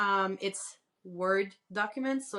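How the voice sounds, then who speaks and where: A woman speaks with a Quebec accent at a medium pitch. The background is quiet. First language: French. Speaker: crochet pattern designer and author. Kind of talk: podcast interview.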